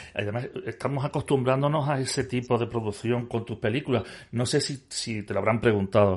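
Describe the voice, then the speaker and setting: The voice is somewhat breathy, with fairly even intonation at a fairly quick pace. The background is quiet. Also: man, medium pitch for a man. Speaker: podcast host. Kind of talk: casual interview. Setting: cinema screening room. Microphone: echo on his voice.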